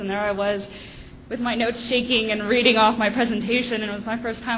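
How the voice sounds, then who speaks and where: A woman talks in a fairly high pitch with monotone, flat intonation. Room echo is audible. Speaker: PhD student. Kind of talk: panel talk. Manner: hesitant, many fillers.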